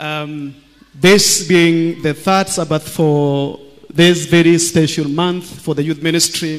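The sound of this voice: This man talks slowly in a fairly high pitch with fairly even intonation. His tone is clear and smooth.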